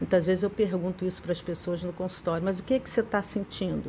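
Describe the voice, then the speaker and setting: A woman with a medium pitch rushes along at a very fast pace. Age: 60s. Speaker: psychotherapist teaching a spiritist study. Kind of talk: lecture.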